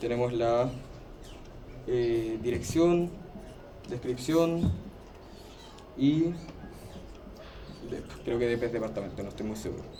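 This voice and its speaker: A man with a Chilean accent speaks at a fairly slow pace, with long, frequent pauses, medium pitch and ordinary pitch variation. Noticeable background noise and audible room echo fill the recording. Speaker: teaching assistant. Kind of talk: tutorial class.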